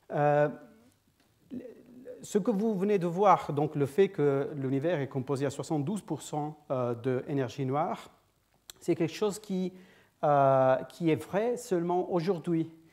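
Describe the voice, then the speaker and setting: A man speaks at a very slow pace, with long, frequent pauses. His pitch sits fairly high and varies in an ordinary way. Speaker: physicist, guest seminar speaker. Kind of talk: lecture. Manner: halting, many hesitations and repetitions.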